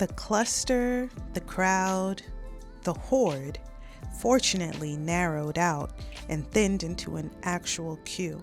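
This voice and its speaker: Soft-spoken, a woman talks at a very slow pace with long, frequent pauses and lively intonation while music plays in the background. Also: fairly low pitch for a woman. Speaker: audiobook narrator. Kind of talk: scripted narration.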